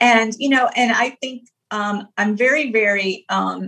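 A woman speaks at a medium pitch with fairly even intonation. Hers is a normal speaking voice. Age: 50s. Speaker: health coach. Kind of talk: interview.

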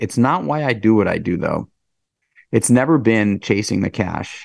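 An ordinary speaking voice at a moderate pace, with lively intonation against a quiet background. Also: man. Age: 40s. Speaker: restaurant entrepreneur and fitness advocate. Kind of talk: casual interview.

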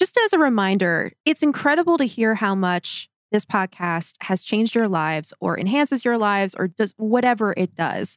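A woman with an ordinary speaking voice, fairly high pitch and lively intonation at a moderate pace, hardly any pauses, in a very clean recording with a silent background. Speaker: podcast co-host. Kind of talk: casual chat.

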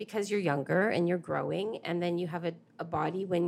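A woman's very fast speech, fairly low in pitch, with vocal fry and fairly even intonation. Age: 50s. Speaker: mother. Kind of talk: casual chat.

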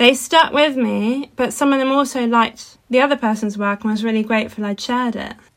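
A woman with a high pitch talks at a fairly quick pace with hardly any pauses. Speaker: podcast co-host, wood engraver. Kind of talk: casual chat.

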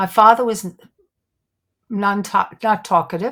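A woman talks in a New York accent. The recording is very clean, with a silent background. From Brooklyn, New York. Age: 70s. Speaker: psychic detective and author. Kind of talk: interview conversation, storytelling. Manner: animated, laughs often.

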